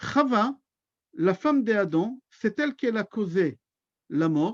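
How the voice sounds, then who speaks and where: With a Hebrew accent and a high pitch, a man talks at a very slow pace with very wide pitch swings and very even loudness, in a dry, close sound with no echo. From Israel. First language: Hebrew (speaking French). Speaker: rabbi. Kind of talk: religious lecture.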